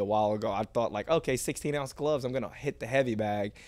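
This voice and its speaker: This is an ordinary speaking voice with an American accent. The pitch variation is ordinary. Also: man. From US South, Georgia. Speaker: mixed martial arts fighter. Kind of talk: casual chat.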